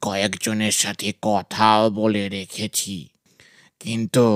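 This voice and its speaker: Using a put-on character voice, a man speaks at a very slow pace in a fairly low pitch with monotone, flat intonation, the sound dry and close with no echo. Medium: audio drama. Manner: affectionate, fatherly.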